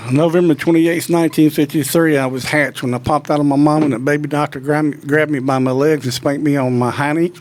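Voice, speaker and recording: Very fast and with hardly any pauses, a man speaks at a fairly high pitch in a monotone, flat way. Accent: Mississippi. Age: 60s. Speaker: professional turkey hunter and call designer. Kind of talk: interview, casual chat.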